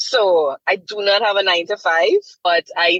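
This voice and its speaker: Her fairly slow speech has lively intonation and a bright, sharp tone. The woman is recorded with a dry, close sound and no echo. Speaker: TV presenter and voice actor. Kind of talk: interview answer.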